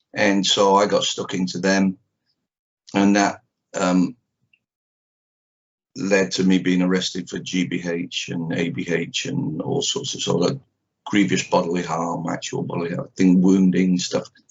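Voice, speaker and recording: A man with a Manchester accent, a very deep, low pitch and ordinary pitch variation, at a fairly slow pace with long, frequent pauses. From northern England, Manchester. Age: 60s. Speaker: karate teacher. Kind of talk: interview. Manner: halting, many fillers.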